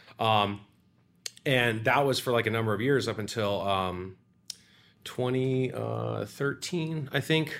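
A man with an American accent speaks at a very slow pace and medium pitch, with ordinary pitch variation and long, frequent pauses. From Florida (Sarasota). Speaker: pizza restaurant owner and chef. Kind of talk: casual interview.

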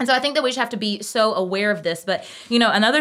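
Words tumble out of a woman very quickly. She uses lively intonation throughout. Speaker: podcast co-host and educator. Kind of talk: casual chat. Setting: home recording during nap time.

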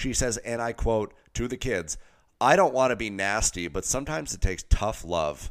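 Speaking at a moderate pace with vocal fry and lively intonation, a man is heard on a very clean recording against a silent background. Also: medium pitch for a man. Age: 30s. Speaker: podcast co-host. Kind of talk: casual chat.

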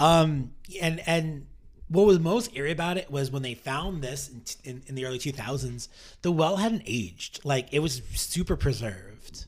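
A man with an American accent speaks at a fairly high pitch and a moderate pace, his voice somewhat breathy and his intonation lively. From New York City. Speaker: podcast host, playwright and director. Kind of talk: casual chat with storytelling. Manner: halting, many repeated words.

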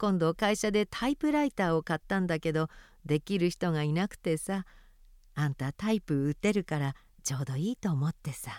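An ordinary speaking voice with lively intonation at a moderate pace, dry and close with no echo, in a very clean recording with a silent background. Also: woman, fairly low pitch for a woman. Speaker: reader of a memoir. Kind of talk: reading aloud.

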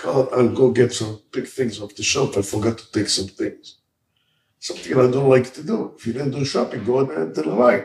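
A man with an American accent speaks at a moderate pace and medium pitch, with lively intonation, vocal fry, and big swings in loudness. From Israel, raised partly in New York. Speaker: rabbi and outreach organization head. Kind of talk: life story interview.

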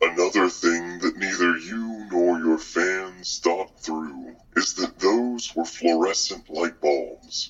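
A man with a very deep, low pitch speaks at a fairly slow pace with hardly any pauses. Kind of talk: audio drama acting, villain monologue. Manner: calm, dry, sarcastic, coldly polite.

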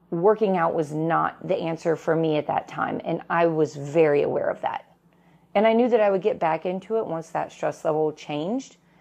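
Here is a woman with a normal speaking voice and fairly low pitch. She keeps a moderate pace and ordinary pitch variation. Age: 40s. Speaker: podcast host and gym owner. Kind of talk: solo podcast talk.

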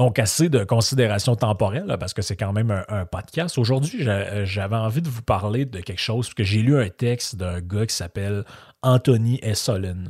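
A man speaks at a moderate pace in a fairly low, somewhat breathy voice with ordinary pitch variation. The recording is very clean with a silent background. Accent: Quebec. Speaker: podcast host. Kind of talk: casual monologue. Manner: hesitant, many fillers.

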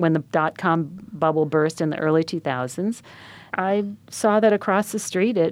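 Against a quiet background, a woman with an American accent speaks in a plain, everyday voice, fairly low in pitch with ordinary pitch variation. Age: 60s. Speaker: magazine editor and entrepreneur. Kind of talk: interview.

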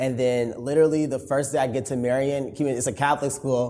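A man with an American accent uses a plain, everyday voice at medium pitch, talking at a fairly quick pace with fairly even intonation. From Chicago, Illinois. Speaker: content creator and corporate employee. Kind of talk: interview.

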